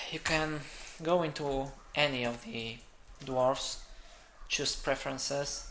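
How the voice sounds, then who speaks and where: Speaking very slowly with a non-native accent, a man uses a bright, sharp tone and ordinary pitch variation, leaving long, frequent pauses. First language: not English. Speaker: games developer. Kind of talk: let's play game commentary.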